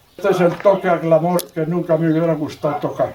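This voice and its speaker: Over noticeable background noise, a man talks at a fairly slow pace in a high pitch with fairly even intonation. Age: 80s+. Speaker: village bell ringer. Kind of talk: casual explanation.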